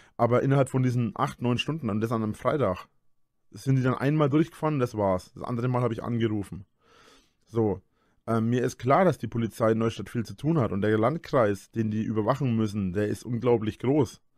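Against a quiet background, a man speaks at a fairly quick pace and medium pitch with ordinary pitch variation, the sound dry with no echo. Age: 30s. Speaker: YouTuber. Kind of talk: casual monologue. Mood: defensive, explaining. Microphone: studio mic.

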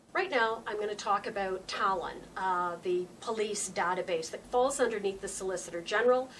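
A woman at a moderate pace, with ordinary pitch variation and light background noise. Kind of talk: political video blog address. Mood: concerned, explanatory.

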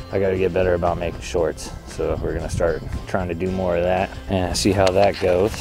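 A man speaks at a moderate pace with a very deep, low pitch. Clear music plays behind his dry, echo-free sound. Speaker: vlogger testing a mic. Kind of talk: casual vlog chat. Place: waterside. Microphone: lapel.

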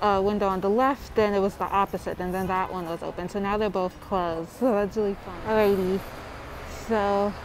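A woman speaks fairly quickly in a monotone, flat delivery. The sound is dry with no echo, and there is light background noise. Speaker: vlogger. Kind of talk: casual vlog chat. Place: street. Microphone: earbuds.

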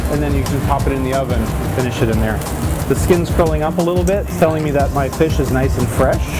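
A man's voice over loud music in the background. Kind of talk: cooking tutorial. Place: kitchen. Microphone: lapel.

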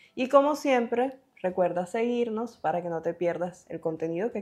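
A woman speaks at a fairly quick pace with lively intonation. The background is quiet. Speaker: online career educator. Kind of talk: scripted narration. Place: home room. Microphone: lapel.

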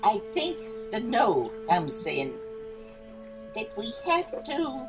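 A woman speaks at a very slow pace with clear music playing in the background. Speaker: speaker. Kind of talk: speech. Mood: lively, humorous. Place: garden. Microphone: podium.

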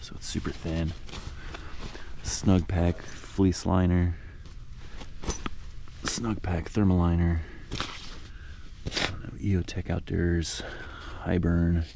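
The voice is dark and mellow, with vocal fry and little pitch movement. It moves at a slow pace with long, frequent pauses. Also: man.

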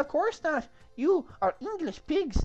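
Fairly slow delivery in a put-on character voice, faint music in the background. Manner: haughty, taunting.

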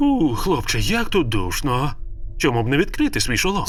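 A man's put-on character voice at very even loudness, over clear background noise. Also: moderate pace. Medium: fan dub.

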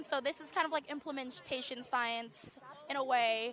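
A woman at a moderate pace with ordinary pitch variation, dry sound with no echo and light background noise. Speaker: university student. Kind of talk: street interview. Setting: outdoors at a campus protest. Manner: casual, uses 'like' often. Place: open country.

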